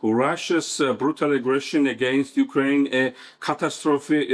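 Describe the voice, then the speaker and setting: Speaking with a Georgian accent, a man keeps a medium pitch and a monotone, flat intonation. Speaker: professor. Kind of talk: conference talk. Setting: conference. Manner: halting, many fillers.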